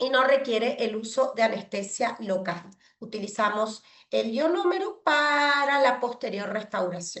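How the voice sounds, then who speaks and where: A woman's fairly high voice at a fairly slow pace, an unremarkable speaking voice with lively intonation. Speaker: pediatric dentist lecturer. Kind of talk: online lecture. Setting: video call with screen sharing.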